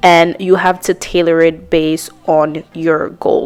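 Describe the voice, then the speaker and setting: A woman at a fairly slow pace and fairly low pitch, monotone and flat in intonation, with noticeable background noise. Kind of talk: explanatory, instructional.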